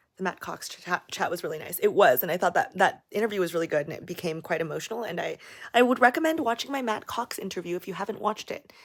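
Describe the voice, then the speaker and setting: In an American accent, the speaker rushes along very fast with hardly any pauses, an animated tone, lively intonation and big swings in loudness. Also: woman, medium pitch for a woman. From Las Vegas, US. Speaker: YouTuber. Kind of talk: livestream Q&A. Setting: livestream.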